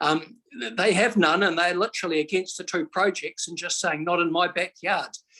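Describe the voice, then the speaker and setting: Speaking at a moderate pace with a New Zealand accent, a man with a high, bright and sharp voice sounds dry and close with no echo. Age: 60s. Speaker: member of the public making a submission. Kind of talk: public hearing submission. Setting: video call.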